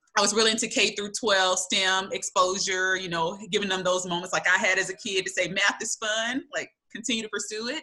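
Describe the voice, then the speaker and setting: A bright, sharp tone in a Southern US accent. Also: woman. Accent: Southern drawl. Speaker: graduate school administrator. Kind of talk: panel discussion.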